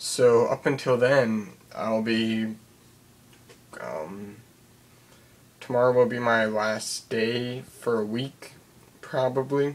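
A man speaks at a very slow pace with fairly even intonation, leaving long, frequent pauses. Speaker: vlogger. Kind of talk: casual vlog update. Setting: at home at night. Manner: quiet, hushed; hesitant, filler words. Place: home room. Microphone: webcam.

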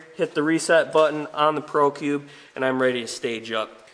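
Moderate-paced talk from a man with fairly even intonation and light background noise. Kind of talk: tutorial. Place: garage. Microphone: camera far.

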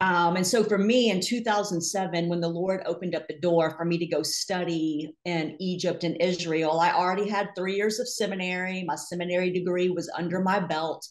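A woman with a plain, everyday voice talks at a moderate pace with hardly any pauses, her fairly low voice holding a fairly even intonation. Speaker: podcast guest, Bible teacher. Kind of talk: interview answer. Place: home room. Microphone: video call.

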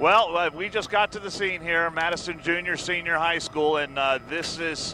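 Over light background noise, a man talks at a moderate pace in a dry sound with no echo. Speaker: helicopter news reporter. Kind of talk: live commentary. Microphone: headset.

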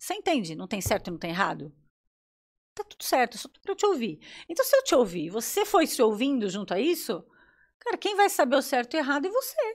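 Talking at a fairly quick pace over a quiet background, the speaker's pitch swings very widely and the loudness rises and falls in big swings. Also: woman. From São Paulo, Brazil. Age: 50s. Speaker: psychologist; guest. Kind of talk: casual chat. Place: studio. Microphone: studio mic.

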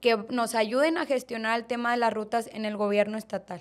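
Against a quiet background, a woman speaks in a high pitch. Her intonation stays fairly even. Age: 20s. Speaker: political candidate; candidate. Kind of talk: interview. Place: studio. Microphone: studio mic.

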